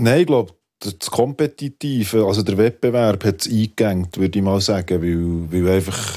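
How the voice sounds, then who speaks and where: A voice with a dark, mellow tone and a Swiss accent speaks at a moderate pace with ordinary pitch variation. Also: man, fairly low pitch for a man. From Switzerland. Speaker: poet and rapper. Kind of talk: radio panel discussion.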